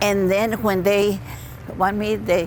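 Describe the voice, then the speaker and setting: Over noticeable background noise, a woman talks fairly slowly at a medium pitch. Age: 90s. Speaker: WWII factory riveter. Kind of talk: interview testimony. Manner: halting.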